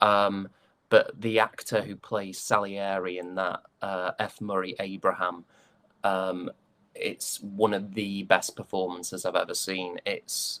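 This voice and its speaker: Fairly slow speech comes in a monotone, flat intonation. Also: man, fairly low pitch for a man. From northern England, West Yorkshire. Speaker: stage and voice actor. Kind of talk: interview conversation. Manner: hesitant with fillers and restarts.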